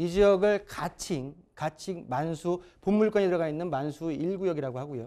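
A man speaks at a moderate pace in a high-pitched voice with a dark, mellow tone. His pitch varies in an ordinary way, and the background is quiet. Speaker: real estate consultant. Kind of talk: expert consultation on TV. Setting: studio. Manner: repetitive, stumbling. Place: studio.

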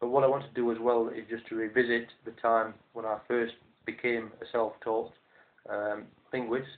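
A man speaks with a Yorkshire accent. His pace is moderate. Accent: Northern English (Yorkshire). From South Yorkshire, England. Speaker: language teacher. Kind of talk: monologue to camera. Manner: hesitant, with frequent fillers. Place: home room. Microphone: webcam.

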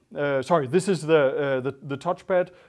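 The background is quiet as a man talks, his pitch varying in an ordinary way. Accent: Danish. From Denmark. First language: Danish. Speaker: designer and entrepreneur. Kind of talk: panel talk. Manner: halting. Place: hall. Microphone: lapel.

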